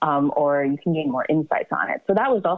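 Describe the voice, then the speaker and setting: In an American accent, the speaker moves at a fairly quick pace. Music plays in the background. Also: woman. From US South, Atlanta. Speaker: psychiatrist and novelist. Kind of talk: interview.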